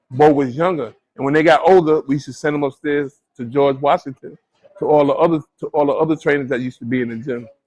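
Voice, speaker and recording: Here a man talks at a very fast pace with an American accent. His pitch is fairly high for a man. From New York, Brooklyn (Bed-Stuy). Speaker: boxing trainer. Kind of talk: interview. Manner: halting, self-repeating.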